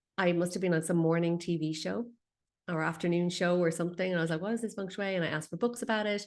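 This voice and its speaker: At a very fast pace, a woman with an Irish accent talks in a fairly low pitch with fairly even intonation against a quiet background. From Ireland. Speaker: feng shui expert. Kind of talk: interview.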